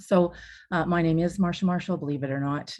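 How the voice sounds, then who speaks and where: Against a quiet background, a woman with a Canadian accent speaks at a very deep, low pitch, with a dark, mellow tone and ordinary pitch variation. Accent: Canadian, noticeable to New Zealanders. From Canada. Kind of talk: webinar presentation.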